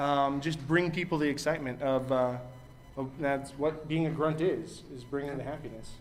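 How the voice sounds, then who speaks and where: Monotone, flat intonation from a man with a fairly high pitch at a moderate pace, with noticeable background noise and audible room echo. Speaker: game master at a convention panel. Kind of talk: panel discussion. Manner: loud.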